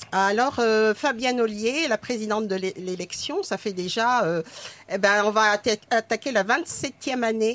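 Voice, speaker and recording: At a fairly slow pace, a woman with an unremarkable speaking voice talks in a fairly high pitch with ordinary pitch variation. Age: 60s. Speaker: retired nurse and actress. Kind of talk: casual chat.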